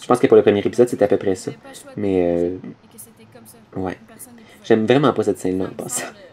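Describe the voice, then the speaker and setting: A man with a fairly low voice speaks at a fairly quick pace, with ordinary pitch variation, big swings in loudness, long and frequent pauses, and noticeable background noise. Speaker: machinima series creator. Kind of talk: audio commentary. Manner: fast; improvised, hesitant.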